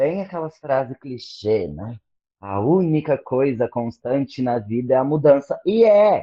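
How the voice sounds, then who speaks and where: Speaking at a fairly slow pace, a man with a plain, everyday voice uses lively intonation at a medium pitch. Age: 30s. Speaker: teacher and doctoral student. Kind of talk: casual chat.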